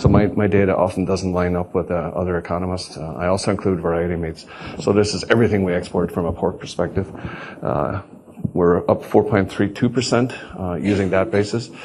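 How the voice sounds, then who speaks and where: Amid noticeable background noise, a man with a very deep, low pitch talks at a fairly quick pace with ordinary pitch variation. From Ireland. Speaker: agricultural economist, professor. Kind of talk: conference presentation. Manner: hesitant, many fillers.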